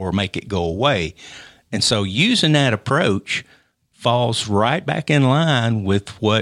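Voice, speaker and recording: A man speaks with a Tennessee accent at a fairly low pitch. The sound is dry and close, with no echo. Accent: Southern US (Tennessee). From Middle Tennessee (Maury County). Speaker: NASA engineer and executive. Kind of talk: interview. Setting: studio.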